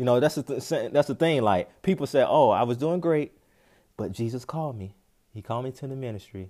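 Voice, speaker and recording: In a dark, mellow tone, a man with an American accent talks at a fairly quick pace, with ordinary pitch variation and big swings in loudness. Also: medium pitch for a man, very clean recording, silent background. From North Carolina, US South. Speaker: podcast host and preacher. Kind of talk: sermon.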